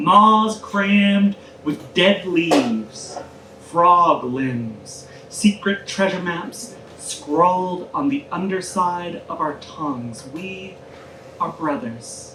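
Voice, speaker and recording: A woman with an American accent speaks very slowly at a medium pitch, her pitch swinging very widely and her loudness rising and falling in big swings, with audible room echo and noticeable background noise. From US South, Aiken, South Carolina. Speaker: poet. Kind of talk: casual introduction to audience; poetry reading. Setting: live reading with audience in a taproom.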